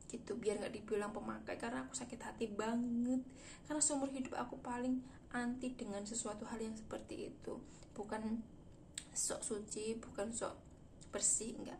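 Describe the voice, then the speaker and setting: A woman speaks in a fairly high voice with vocal fry. Her intonation stays fairly even within audible room echo. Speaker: vlogger. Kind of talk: casual storytelling vlog. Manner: fast.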